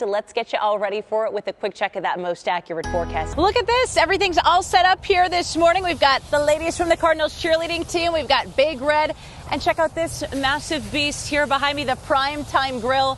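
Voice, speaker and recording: With music in the background, a woman talks fairly quickly at a high pitch and in an upbeat tone, with hardly any pauses. Her pitch swings very widely. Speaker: TV news anchor and reporter. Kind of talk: TV news anchor read.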